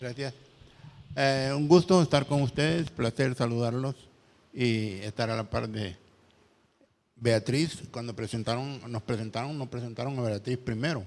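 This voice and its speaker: The speech comes at a fairly slow pace, with ordinary pitch variation and long, frequent pauses. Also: man, medium pitch for a man. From El Salvador, Santa Tecla. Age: 60s. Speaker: rock musician. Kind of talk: panel talk. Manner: halting, many repetitions.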